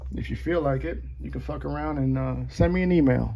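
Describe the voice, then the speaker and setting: A man keeps a moderate pace as audible room echo fills the space around him. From Puerto Rico. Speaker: knife reviewer. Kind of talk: casual tutorial. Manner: animated, profane.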